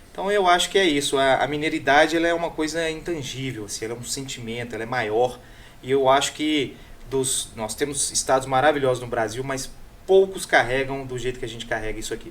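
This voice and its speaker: Against noticeable background noise, a man at a medium pitch talks at a fairly quick pace with ordinary pitch variation. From Minas Gerais, Brazil. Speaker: food content creator and radio columnist. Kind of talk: casual chat.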